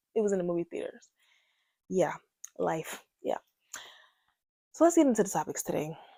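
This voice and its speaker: Recorded with a dry, close sound and no echo, a woman speaks at a fairly quick pace broken by long, frequent pauses. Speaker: podcast host. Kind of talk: casual storytime monologue. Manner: getting louder as she goes.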